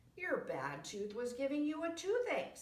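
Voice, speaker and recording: A woman's high-pitched, put-on character voice at a moderate pace, with slight echo. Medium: read story.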